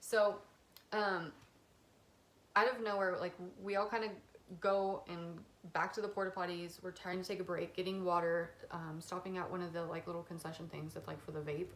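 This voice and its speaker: A woman talks at a medium pitch with long, frequent pauses. Audible room echo is present. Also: fairly even intonation. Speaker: YouTuber. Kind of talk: storytime vlog. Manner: fast; casual, filler-heavy.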